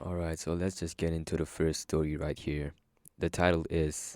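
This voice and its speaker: On a very clean recording with a silent background, a man with a slight non-native accent speaks at a moderate pace in a very deep, low, dark and mellow voice with monotone, flat intonation. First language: not English. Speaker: story narrator. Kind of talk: casual chat; reading aloud. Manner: hesitant.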